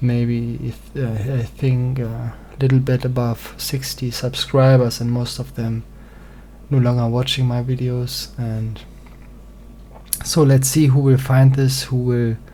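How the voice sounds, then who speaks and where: Over noticeable background noise, a man talks fairly slowly at a medium pitch in a flat, monotone way. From German-speaking country. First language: German. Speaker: singer-songwriter presenting music theory. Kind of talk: reading aloud a presentation. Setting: small home studio. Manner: halting, many fillers.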